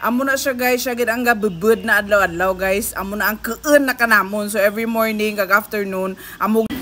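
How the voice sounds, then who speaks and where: There is noticeable background noise as a woman with a fairly high voice speaks. She goes at a fairly quick pace with hardly any pauses. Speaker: vlogger. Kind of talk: casual vlog narration to camera. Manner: upbeat.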